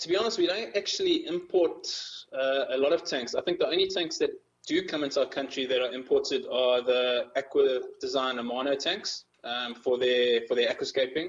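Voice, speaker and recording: Speaking at a moderate pace, a man talks with a South African accent. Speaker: magazine editor. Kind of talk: interview.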